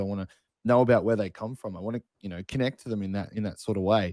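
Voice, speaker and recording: In a dry, close sound with no echo, a man speaks at a very fast pace with medium pitch and ordinary pitch variation. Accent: Australian. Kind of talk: casual chat.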